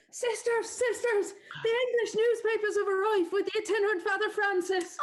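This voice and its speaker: A woman puts on a squeaky character voice at an extremely high pitch. She speaks at a fairly quick pace with very even loudness. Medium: stage play.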